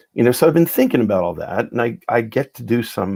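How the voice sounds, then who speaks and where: A man talks at a fairly quick pace in a normal speaking voice, with ordinary pitch variation. The sound is dry and close, with no echo. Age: 60s. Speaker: psychiatrist and spoken word organizer. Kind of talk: casual chat.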